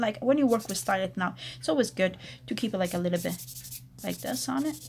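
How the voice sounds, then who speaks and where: This woman speaks with an Italian accent. Her pitch swings very widely. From Italy. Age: 40s. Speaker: nail technician. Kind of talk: tutorial. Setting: live stream.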